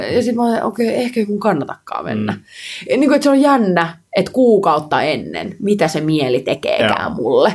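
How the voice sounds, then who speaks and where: Noticeable background noise surrounds a woman at medium pitch. She talks fairly quickly, her pitch swinging very widely. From Finland, Helsinki. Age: 30s. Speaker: pole dance and street workout world champion, entrepreneur. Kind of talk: casual interview chat.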